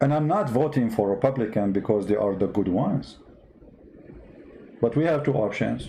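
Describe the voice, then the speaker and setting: Dark and mellow in tone, a man with an Arabic accent talks at a medium pitch and a moderate pace, with ordinary pitch variation, very even loudness, and long, frequent pauses. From Middle East. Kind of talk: online talk show rant. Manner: animated.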